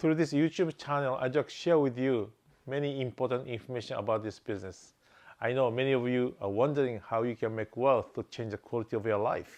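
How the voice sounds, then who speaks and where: Over a quiet background, a man speaks with a Japanese accent at a medium pitch. His pace is fairly quick, with ordinary pitch variation. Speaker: real estate investor. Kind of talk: channel introduction.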